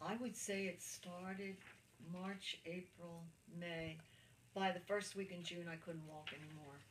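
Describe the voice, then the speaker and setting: In audible room echo, a woman speaks at a fairly slow pace and fairly low pitch, somewhat breathy, with fairly even intonation and long, frequent pauses. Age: 70s. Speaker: cancer patient interviewee. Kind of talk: interview testimony. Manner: halting.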